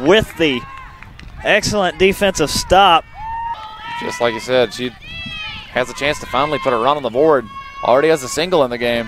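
At a fairly high pitch and fairly quick pace, a man speaks with lively intonation and long, frequent pauses over noticeable background noise. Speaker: color commentator. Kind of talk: live sports commentary, analyst remarks. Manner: conversational, reactive, and explanatory.

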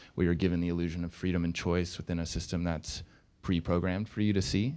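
A man with a very deep, low pitch, a very fast pace and fairly even intonation. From Baltimore. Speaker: filmmaker. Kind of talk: panel discussion. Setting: stage with audience. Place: stage. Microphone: handheld.

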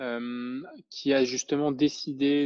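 A man talks at a medium pitch in a dry, close sound with no echo and a quiet background. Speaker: podcast host. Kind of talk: casual interview chat.

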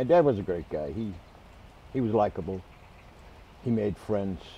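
A man with an American accent speaks at a moderate pace in a dark, mellow tone with lively intonation. His sound is dry with no echo, with light background noise. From Boston area. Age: 80s+. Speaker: man remembering his parents. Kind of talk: interview answer. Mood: warm, reminiscing. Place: garden.

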